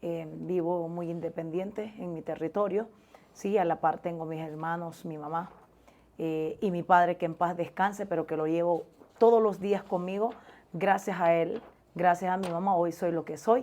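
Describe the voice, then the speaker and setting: A woman speaks at a moderate pace with a fairly low pitch, a dark, mellow tone and fairly even intonation. The recording is very clean, with a silent background. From Honduras, La Mosquitia (Puerto Lempira). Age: 30s. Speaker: journalist. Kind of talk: interview.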